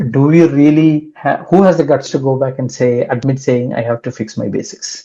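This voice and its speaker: A man's dark, mellow voice at a fairly high pitch, moderate in pace, with a Kerala accent. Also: ordinary pitch variation. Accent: Indian English (Kerala). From Kerala, India. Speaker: cybersecurity expert. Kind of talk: interview.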